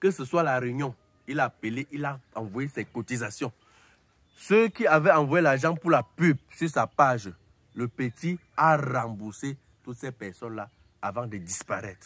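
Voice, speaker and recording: With lively intonation and a medium pitch, a man talks at a fairly slow pace, leaving long, frequent pauses. The sound is dry with no echo. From Cameroon. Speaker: YouTuber commentator; entertainment vlogger. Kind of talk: casual monologue to camera. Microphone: phone near.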